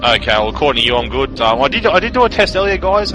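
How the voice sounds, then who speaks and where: Music plays in the background. A man speaks with an Australian accent. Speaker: esports shoutcaster. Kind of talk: live commentary. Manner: loud.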